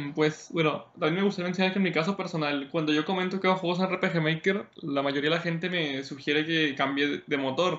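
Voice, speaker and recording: A man's high-pitched, fairly quick speech, with fairly even intonation, very even loudness and hardly any pauses. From Mexico. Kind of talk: casual interview chat. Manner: halting, many repetitions.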